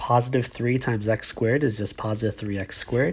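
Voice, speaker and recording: The man's voice is somewhat breathy and medium in pitch. His intonation stays fairly even. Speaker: math teacher. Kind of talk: tutorial.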